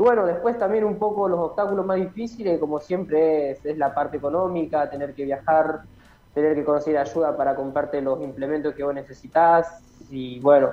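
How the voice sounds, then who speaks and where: Talking at a fairly quick pace, a man has a plain, everyday voice, a fairly high pitch and ordinary pitch variation. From Santa Fe province, Argentina. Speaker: professional athlete. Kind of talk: interview.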